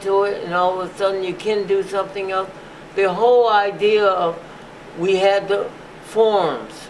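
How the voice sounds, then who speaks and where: With noticeable background noise behind him, a man speaks at a moderate pace in a high pitch and monotone, flat intonation. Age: 80s+. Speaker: physician, museum founder. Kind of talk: interview answer.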